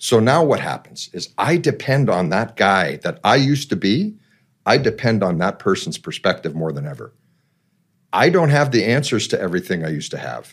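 The recording is very clean, with a silent background. A man with a fairly low voice and vocal fry speaks at a moderate pace, his pitch swinging very widely. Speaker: business development manager, former splicer. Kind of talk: casual interview. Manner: animated.

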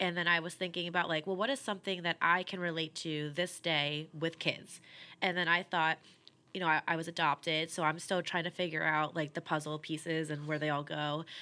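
A woman's fairly low, bright, sharp voice with an American accent, fairly quick and monotone, flat in intonation, on a very clean recording with a silent background. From New Jersey. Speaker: singer and band musician. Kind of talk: casual interview. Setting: closed bar.

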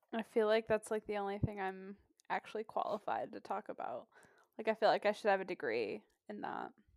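A woman's medium-pitched voice with vocal fry, a fairly quick pace, ordinary pitch variation and big swings in loudness, in a dry, close sound with no echo. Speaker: guest co-host. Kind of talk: casual chat.

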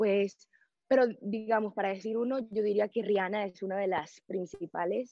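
A woman speaks at medium pitch. Her intonation stays fairly even. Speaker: singer. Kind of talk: casual interview. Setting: remote interview from a studio room. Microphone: connection dropped briefly.

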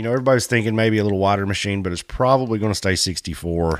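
With lively intonation, a man talks on a very clean recording where the background is silent. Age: 30s. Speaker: off-road podcast host. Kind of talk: casual chat. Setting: studio.

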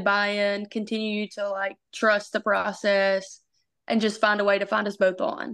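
A woman talks in a Southern US accent at a medium pitch and a moderate pace. Her intonation is monotone and flat against a quiet background. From Arkansas, US South. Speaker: college softball pitcher. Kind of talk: interview.

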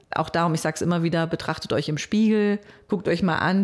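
A woman speaks in a plain, everyday voice with a fairly low pitch. Her pace is fairly quick and her intonation fairly even. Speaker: radio program director and podcaster. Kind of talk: interview. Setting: studio.

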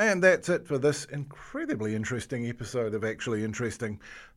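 A man with a New Zealand accent talks at a very fast pace, his pitch swinging very widely, on a very clean recording with a silent background. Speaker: podcast host. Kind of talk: interview; scripted intro.

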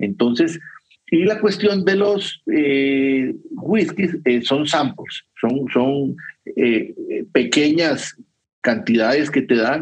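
Speaking at a very slow pace, a man uses a fairly high pitch and lively intonation while keeping his loudness very even. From Costa Rica. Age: 50s. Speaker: whisky educator. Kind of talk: casual interview with travel anecdotes.

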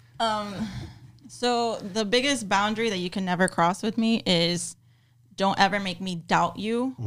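A woman with an American accent, medium pitch and ordinary pitch variation, at a fairly slow pace over music in the background. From Miami, Florida. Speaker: personal trainer and nutritionist. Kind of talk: casual chat.

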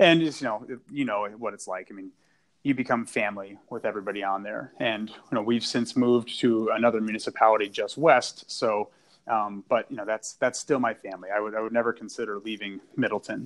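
Fairly quick and fairly even in intonation, a man with medium pitch and an unremarkable speaking voice shows big swings in loudness. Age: 30s. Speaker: firefighter and equipment company representative. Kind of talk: casual interview.

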